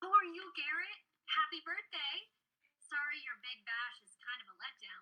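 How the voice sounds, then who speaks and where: A woman uses a put-on character voice, squeaky and extremely high in pitch, with an upbeat tone. She keeps a moderate pace while her loudness swings widely. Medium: stage play. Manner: breezy, upbeat.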